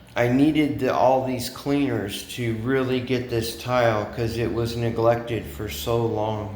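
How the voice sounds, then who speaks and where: A man speaks fairly slowly at a medium pitch, with ordinary pitch variation and hardly any pauses. Noticeable background noise and audible room echo are present. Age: 60s. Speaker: expat vlogger. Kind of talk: vlog monologue.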